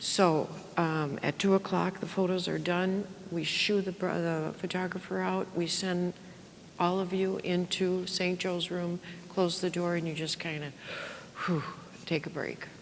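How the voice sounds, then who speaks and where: Monotone, flat intonation at a fairly slow pace, with noticeable background noise. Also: woman, fairly low pitch for a woman. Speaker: parish worship director. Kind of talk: workshop presentation. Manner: loud; casual, filler-heavy.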